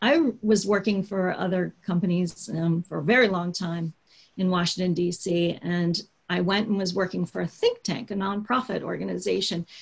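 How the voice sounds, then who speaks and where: A somewhat breathy woman's voice at medium pitch, with an American accent and a moderate pace. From US, Baltimore, Maryland. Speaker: digital marketing consultant, business owner. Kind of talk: interview.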